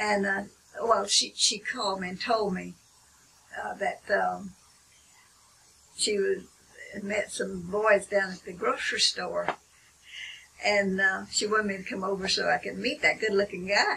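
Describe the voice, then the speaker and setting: Speaking in a Southern US accent, a woman shows big swings in loudness and long, frequent pauses, with noticeable background noise behind her. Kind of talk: interview answer.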